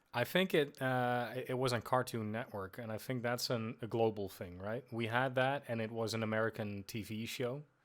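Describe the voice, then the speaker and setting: A Dutch accent at a moderate pace with hardly any pauses and fairly even intonation, on a very clean recording with a silent background. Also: man, medium pitch for a man. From Netherlands. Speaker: podcast co-host. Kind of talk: casual chat.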